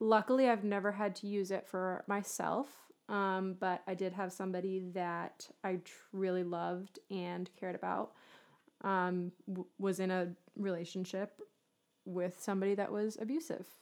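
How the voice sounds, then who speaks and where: At a moderate pace, a woman talks in a medium pitch with fairly even intonation. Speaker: podcast co-host. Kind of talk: casual interview chat.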